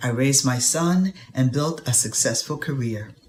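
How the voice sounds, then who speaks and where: Noticeable background noise surrounds a woman whose very deep, low voice moves at a moderate pace with lively intonation. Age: 60s. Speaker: patient. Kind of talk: testimony. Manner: reading from a prepared statement.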